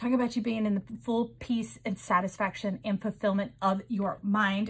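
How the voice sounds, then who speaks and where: Her voice somewhat breathy, a woman talks in a mid-range pitch. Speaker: tarot reader. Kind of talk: intuitive tarot reading. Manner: fast; animated.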